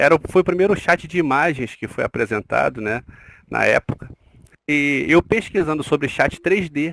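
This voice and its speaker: A man speaks at a moderate pace. He has a Rio de Janeiro accent. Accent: Carioca Brazilian Portuguese. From Rio de Janeiro, Brazil. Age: 40s. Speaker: nurse, interview guest. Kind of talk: podcast interview. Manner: hesitant, with fillers.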